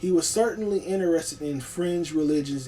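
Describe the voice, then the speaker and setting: Over noticeable background noise, a man speaks at a fairly quick pace with lively intonation. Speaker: online video creator. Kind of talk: casual video monologue on history. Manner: fast; halting, many fillers.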